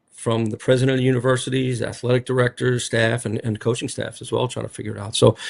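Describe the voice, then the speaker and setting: This man talks very fast in a strong Rhode Island accent. His intonation stays monotone and flat. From Rhode Island (Smithfield). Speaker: college basketball head coach. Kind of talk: media interview. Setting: media day. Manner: casual, filler-heavy.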